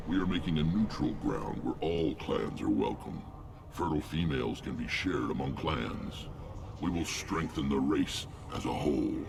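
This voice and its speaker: A man's put-on character voice, very deep and low, at a moderate pace against loud background noise. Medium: video game. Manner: gruff, blunt.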